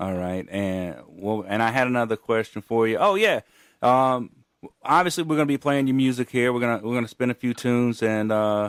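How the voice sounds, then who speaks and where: The speaker has a slight Gulf Coast accent, a fairly quick pace and ordinary pitch variation, recorded with a dry, close sound and no echo. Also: man, medium pitch for a man. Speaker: radio host. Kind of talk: radio interview.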